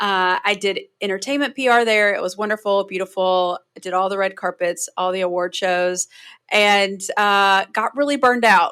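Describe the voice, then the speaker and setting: With a strong North Carolina accent, a woman at medium pitch speaks in a bright, sharp tone at a moderate pace with ordinary pitch variation, the recording very clean, silent in the background, dry and close with no echo. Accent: Southern US (North Carolina), strong. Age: 30s. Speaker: public relations consultant. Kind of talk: podcast interview.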